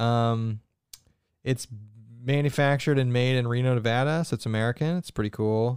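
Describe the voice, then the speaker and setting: A man at medium pitch speaks at a moderate pace with long, frequent pauses, fairly even intonation and very even loudness, in a dry, close sound with no echo. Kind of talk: casual chat. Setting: live stream.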